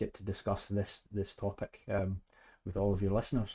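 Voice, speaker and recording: In a Scottish accent, a man talks at a fairly quick pace with a dark, mellow tone, on a very clean recording with a silent background. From Scotland. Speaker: head of service at a manufacturer. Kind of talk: podcast interview.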